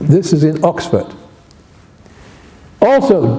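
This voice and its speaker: A man speaks with lively intonation. Noticeable background noise and audible room echo surround him. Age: 80s+. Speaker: academic linguist, Nubian languages specialist. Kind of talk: memorial talk with slides. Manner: halting.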